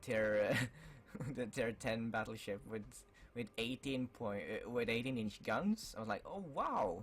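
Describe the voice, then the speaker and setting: A man at medium pitch and fairly slow pace, with music in the background. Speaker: gaming YouTuber. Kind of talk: casual talk to camera.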